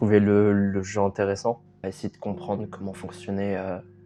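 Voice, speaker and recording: Music plays in the background. A man with a fairly low pitch speaks at a moderate pace. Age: 20s. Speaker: documentary subject. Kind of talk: interview testimony. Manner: halting.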